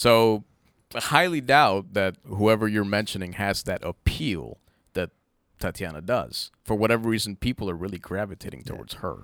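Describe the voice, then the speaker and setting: A man with a normal speaking voice talks at a moderate pace, his pitch fairly low with ordinary variation. The recording is very clean, with a silent background. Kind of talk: casual banter. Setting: studio.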